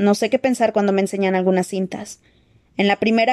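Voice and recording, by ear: A natural voice reads aloud, keeping its intonation fairly level.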